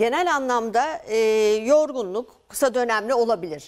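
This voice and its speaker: In a quiet background, a woman talks at a moderate pace in a high pitch. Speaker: endocrinology professor. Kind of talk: medical interview. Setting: studio. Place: studio. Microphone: lapel.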